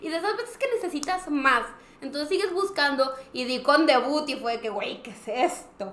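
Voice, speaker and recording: A woman with a Mexican accent speaks at a moderate pace in a high pitch, her voice swinging very widely in pitch and greatly in loudness. The room echo is audible. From Mexico. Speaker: podcast co-host. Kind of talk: casual chat. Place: studio.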